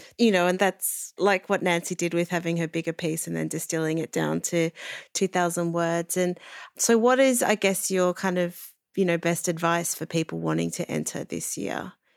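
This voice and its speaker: A woman's fairly low voice with an Australian accent, at a moderate pace and with fairly even intonation. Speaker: podcast host and editor. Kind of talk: interview.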